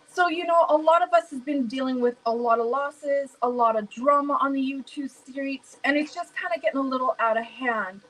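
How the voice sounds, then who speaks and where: A loud woman with an American accent, a high pitch, ordinary pitch variation, a fairly quick pace and hardly any pauses. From US Midwest, St. Louis. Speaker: live stream host. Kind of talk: casual chat.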